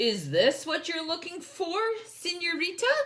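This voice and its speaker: A woman uses a put-on character voice with a warm tone and extremely high pitch. She talks at a moderate pace. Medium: read story. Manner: warm, friendly.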